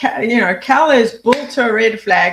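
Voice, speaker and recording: Speaking at a fairly slow pace in a South African accent, a woman uses ordinary pitch variation. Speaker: memory trainer and former activist. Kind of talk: interview.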